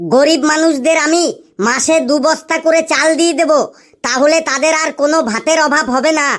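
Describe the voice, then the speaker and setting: A cartoonish character voice sits at a high pitch. It moves at a moderate pace. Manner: earnest, repetitive.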